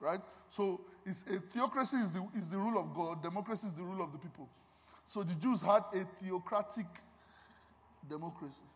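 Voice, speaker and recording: A man with a high voice and ordinary pitch variation talks at a fairly quick pace, broken by long, frequent pauses. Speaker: guest preacher and music minister. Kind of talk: sermon. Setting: church with congregation. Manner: animated.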